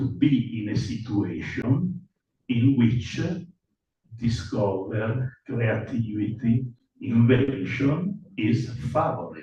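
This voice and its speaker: Speaking very slowly with an Italian accent, a man with a somewhat breathy, dark, mellow tone and a medium pitch shows ordinary pitch variation amid audible room echo. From Italy. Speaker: academic conference speaker. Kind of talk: lecture. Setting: conference hall with microphone. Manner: halting, with hesitations.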